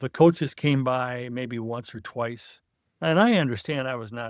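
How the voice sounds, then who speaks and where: In a US Midwestern accent, a man talks at a fairly slow pace. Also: very clean recording, silent background. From Iowa, US Midwest. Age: 70s. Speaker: retired football coach. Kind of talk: interview.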